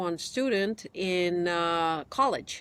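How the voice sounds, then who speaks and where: A woman speaks in a Romanian accent. Her pitch is medium. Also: very clean recording, silent background. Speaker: immigration attorney. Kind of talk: interview.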